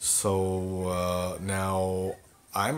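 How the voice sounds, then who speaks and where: This man speaks with a very deep, low pitch. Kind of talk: casual vlog chat. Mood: mildly disappointed, then upbeat. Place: home room. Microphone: phone near.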